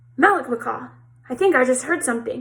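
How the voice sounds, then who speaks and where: Putting on a character voice, a woman growls at a high pitch and a very fast pace. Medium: read story. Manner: growling.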